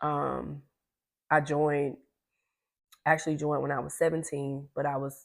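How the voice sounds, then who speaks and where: Her voice very deep and low, a woman speaks in a monotone, flat delivery with vocal fry, and the recording is very clean with a silent background. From US South, Greenville, South Carolina. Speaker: content creator, Navy veteran. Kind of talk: casual get-to-know-me vlog while eating. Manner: rambling, easily sidetracked.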